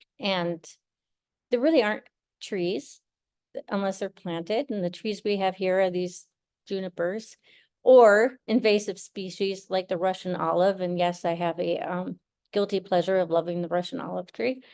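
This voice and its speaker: An ordinary speaking voice at a moderate pace, with ordinary pitch variation and a quiet background. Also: woman, medium pitch for a woman. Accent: American. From rural northern Minnesota. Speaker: artist and professor. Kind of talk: artist talk.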